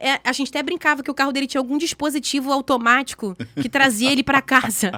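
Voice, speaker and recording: A woman speaks very fast in a raised, projected voice, high-pitched with a bright, sharp, animated tone in a dry, close sound with no echo. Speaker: podcast guest sharing faith story. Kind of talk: testimony.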